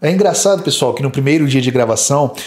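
The background is quiet as a man speaks in a fairly high pitch with ordinary variation. His voice is somewhat breathy. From Brazil. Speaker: fitness youtuber. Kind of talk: video commentary. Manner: animated. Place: home room. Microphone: studio mic.

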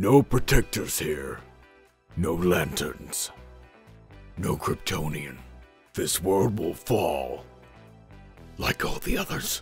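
A gruff, put-on character voice moves at a very slow pace with lively intonation and long, frequent pauses. Faint music plays in the background. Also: man, very deep, low pitch for a man. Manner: menacing, performed.

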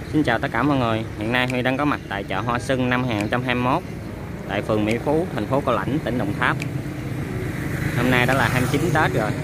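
A man talks with long, frequent pauses. The sound is dry with no echo, yet loud background noise comes through. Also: moderate pace. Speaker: vlogger. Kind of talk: casual vlog chat. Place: market. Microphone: phone near.

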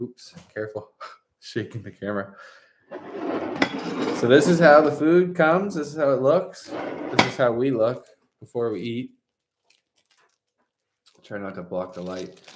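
A man talks at a moderate pace, pausing often and at length, with noticeable background noise behind him. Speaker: travel vlogger. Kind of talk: casual vlog chat. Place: home room. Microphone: phone near.

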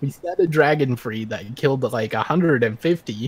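With a slightly husky edge, a man talks at a moderate pace and medium pitch, using ordinary pitch variation.

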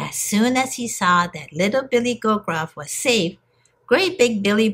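An unforced reading voice is heard here.

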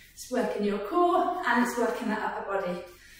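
Heard through strong room echo, a woman with a high-pitched voice talks at a moderate pace. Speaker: fitness instructor. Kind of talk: workout instruction. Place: gym.

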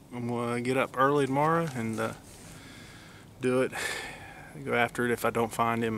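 A man in an Appalachian accent at a medium pitch, with monotone, flat intonation, a fairly quick pace, and long, frequent pauses, in a dry sound with no echo and light background noise. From West Virginia. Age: 40s. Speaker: deer hunter video blogger. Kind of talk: outdoor hunting vlog narration. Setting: outdoors in the woods. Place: forest. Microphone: phone near.

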